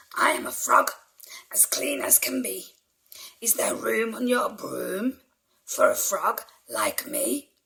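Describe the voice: Raspy and croaky, a put-on character voice moves at a fairly slow pace with long, frequent pauses.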